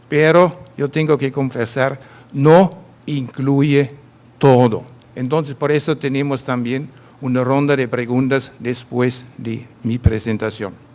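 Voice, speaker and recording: With a German accent, the speaker talks at a very slow pace in fairly even intonation. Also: man, medium pitch for a man. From Germany. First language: German (speaking Spanish). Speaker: vocational training consultant. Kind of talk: conference presentation. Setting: conference stage with audience.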